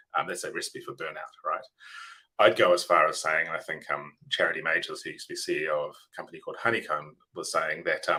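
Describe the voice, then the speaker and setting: A man talks at a very fast pace with big swings in loudness. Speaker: software engineering leader. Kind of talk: webinar presentation. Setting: webinar. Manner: animated.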